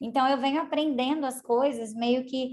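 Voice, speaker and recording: With ordinary pitch variation, a woman talks in a high register. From Brazil, Paraná. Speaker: university lecturer. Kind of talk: online lecture presentation. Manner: fast. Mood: friendly, relaxed storytelling. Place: home room. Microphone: video call.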